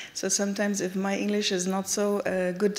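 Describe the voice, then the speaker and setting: There is noticeable background noise. A woman with a German accent speaks through it at a moderate pace. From Germany. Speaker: activist. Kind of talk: panel talk. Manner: halting, many fillers.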